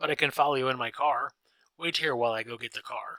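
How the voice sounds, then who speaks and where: Raspy and fairly high, a man's put-on character voice races at a very fast pace with fairly even intonation. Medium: read story. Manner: eager, polite.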